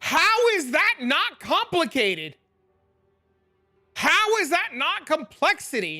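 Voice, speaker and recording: At a very slow pace, the speaker is loud and leaves long, frequent pauses. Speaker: gaming streamer. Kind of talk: live stream chat. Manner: animated.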